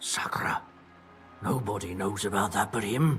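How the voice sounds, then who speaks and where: A raspy, put-on character voice from a man, fairly low in pitch, at a moderate pace. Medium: machinima. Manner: blunt, colloquial.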